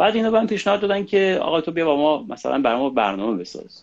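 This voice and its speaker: Speaking at a very fast pace, a man talks with vocal fry. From Iran. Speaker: singer-songwriter. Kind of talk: casual interview. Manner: halting.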